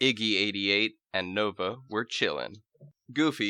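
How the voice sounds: Reading in a natural reading voice, the speaker has lively intonation, with a quiet background.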